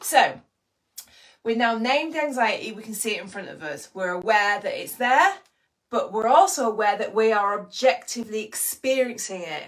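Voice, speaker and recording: A woman with an English accent speaks in an animated tone at a fairly high pitch. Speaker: anxiety coach. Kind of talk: live online training. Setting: live stream with chat.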